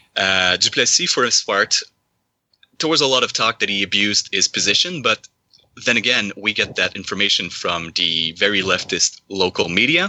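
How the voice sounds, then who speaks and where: This man talks at a moderate pace with a Quebec French accent and a fairly low pitch. His loudness stays very even. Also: lively intonation. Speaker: caller. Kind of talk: discussion call.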